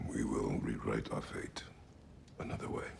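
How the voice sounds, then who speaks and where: A man whispers in a put-on character voice. He keeps a moderate pace. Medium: video game. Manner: terse, grave.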